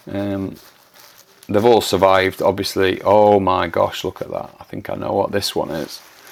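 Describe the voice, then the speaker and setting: A man talks at a moderate speed while noticeable noise sounds behind him. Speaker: plant collector and channel host. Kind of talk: unboxing tutorial. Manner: hesitant, many fillers.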